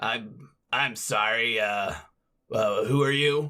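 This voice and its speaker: A man puts on a raspy character voice at medium pitch. He speaks very slowly with fairly even intonation. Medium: actual play. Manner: hesitant, stammering.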